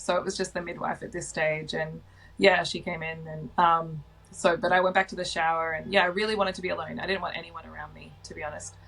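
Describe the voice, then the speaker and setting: A woman with an Australian accent speaks at a fairly quick pace and a fairly low pitch, her bright, sharp tone carrying vocal fry, fairly even intonation and big swings in loudness. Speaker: mother sharing birth stories. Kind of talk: personal storytelling interview. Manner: loud by nature; casual, many fillers.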